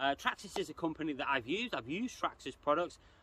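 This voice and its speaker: Speaking with an English accent, a man uses lively intonation in a fairly high voice with a bright, sharp tone. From England. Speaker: RC hobby youtuber. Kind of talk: casual commentary video. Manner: hesitant, many fillers.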